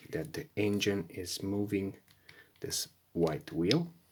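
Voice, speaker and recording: A woman speaking at a very slow pace, her pitch very deep and low, with a non-native accent. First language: not English. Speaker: car repair video maker. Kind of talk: tutorial. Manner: halting.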